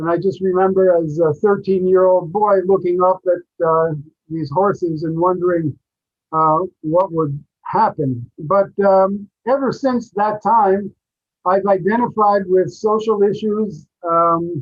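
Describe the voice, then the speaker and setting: The man's pitch is high, with ordinary variation, and his pace is fairly slow. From US, New York City. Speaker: peace project director. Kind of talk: webinar interview. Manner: halting, many fillers.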